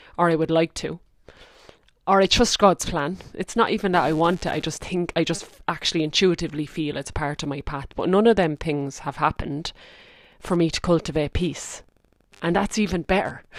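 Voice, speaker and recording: Very clean and recorded against a silent background, a woman talks at a fairly quick pace and a fairly low pitch. She has a strong rural Irish accent and ordinary pitch variation. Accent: thick Irish country. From rural Ireland. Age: 30s. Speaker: spiritual podcast host. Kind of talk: reflective monologue. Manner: casual, conversational.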